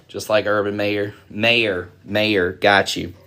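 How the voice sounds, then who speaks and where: Speaking with a Southern US accent, a man sounds animated in tone. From US South. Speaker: card break streamer. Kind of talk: live stream chat. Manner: casual, animated.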